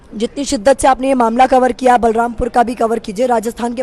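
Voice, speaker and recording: A woman with a high-pitched voice talks at a moderate pace over noticeable background noise. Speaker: TV news reporter. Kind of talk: interview conversation.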